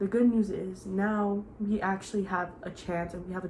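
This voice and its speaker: A woman's somewhat breathy, monotone voice with flat intonation, at a fairly slow pace amid audible room echo. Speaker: youtuber. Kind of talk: casual chat.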